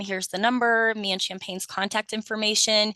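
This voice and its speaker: A woman's medium-pitched voice with a bright, sharp tone and ordinary pitch variation, dry and close with no echo, over a quiet background. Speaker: VA palliative care staff presenter. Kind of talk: presentation on a video call. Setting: video call. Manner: fast.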